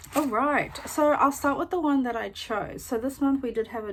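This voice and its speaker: A woman with a New Zealand accent and ordinary pitch variation. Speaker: beauty YouTuber. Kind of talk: product unboxing review. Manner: little lip movement, slightly impeded; casual with many fillers.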